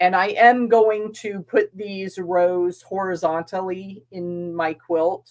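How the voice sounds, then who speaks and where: A woman mumbles. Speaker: quilting channel host. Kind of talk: casual sewing vlog chat. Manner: mumbling while working.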